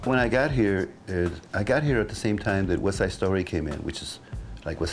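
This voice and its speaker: Music plays in the background while a man talks at a moderate speed, his intonation lively. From Mexico. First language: Spanish. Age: 60s. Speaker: guitarist. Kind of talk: interview answer.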